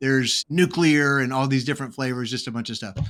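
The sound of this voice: This man talks at a fairly quick pace with an American accent, a medium pitch and ordinary pitch variation. His tone is fairly bright.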